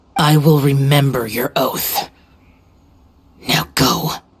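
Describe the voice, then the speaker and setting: This put-on character voice growls at a very slow pace in a low-to-middle pitch. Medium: video game. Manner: terse, stern.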